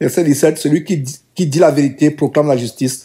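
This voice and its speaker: A man with a dark, mellow tone and a somewhat breathy voice speaks at a moderate pace with ordinary pitch variation. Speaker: preacher. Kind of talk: sermon, Bible study teaching. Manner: earnest, didactic, exhorting; formal, solemn, repeating phrases for emphasis.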